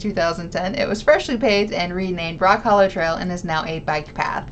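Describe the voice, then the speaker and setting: A woman in a Southern US accent at a fairly quick pace, over noticeable background noise. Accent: Southern American. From American South. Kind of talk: casual storytelling.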